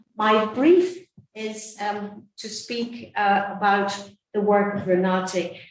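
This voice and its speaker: A woman speaks at a very slow pace with fairly even intonation. Her loudness swings widely, and room echo is audible. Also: medium pitch for a woman. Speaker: nun and anti-trafficking advocate. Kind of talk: conference talk. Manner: soft-spoken; hesitant.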